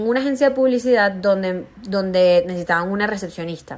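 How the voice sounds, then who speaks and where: A woman speaks at a medium pitch with a Venezuelan accent. Her pitch varies in an ordinary way, and her pace is moderate. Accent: Venezuelan, kept; often taken for Colombian. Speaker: stand-up comedian. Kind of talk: interview testimony.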